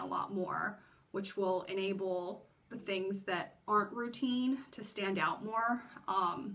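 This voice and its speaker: Against noticeable background noise, a woman at medium pitch talks at a fairly slow pace with fairly even intonation. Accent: American. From US. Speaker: vlogger. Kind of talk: casual vlog talk. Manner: filler-heavy, rambling speech.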